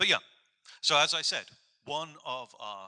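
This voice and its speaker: A man talks at a moderate pace with an English accent. His tone is bright and sharp. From England. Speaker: professor. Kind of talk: informative presentation.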